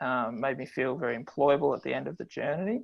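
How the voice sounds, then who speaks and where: The speaker is a man with an Australian accent. Behind him, the background stays quiet. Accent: Australian drawl. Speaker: health economics lecturer. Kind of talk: webinar presentation. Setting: online webinar from office. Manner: frequent filler words.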